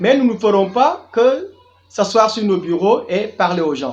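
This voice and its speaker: There is noticeable background noise. A man speaks with lively intonation. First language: Diola (Jola) (speaking French). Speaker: tour guide and youth business coach. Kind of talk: channel introduction monologue.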